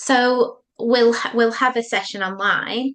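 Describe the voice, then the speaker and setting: A very slow delivery in a northern English accent. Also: woman. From northern England. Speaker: psychotherapist. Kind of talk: podcast interview.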